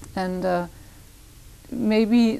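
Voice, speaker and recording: With a German accent, a woman speaks using ordinary pitch variation. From Germany, Hamburg. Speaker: poet and poetry teacher. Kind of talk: interview. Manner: halting.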